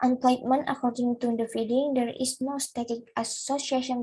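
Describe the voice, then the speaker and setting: A woman speaks with a non-native accent at a high pitch. Her tone is dark and mellow. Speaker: student presenter. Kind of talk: academic presentation. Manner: halting.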